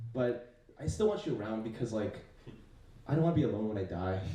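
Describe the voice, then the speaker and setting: At a fairly quick pace, a man speaks with very wide pitch swings, with audible room echo and noticeable background noise. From US, child of Chinese immigrants. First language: Chinese. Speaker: comedian. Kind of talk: stand-up. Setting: stage with audience. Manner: casual, lots of fillers.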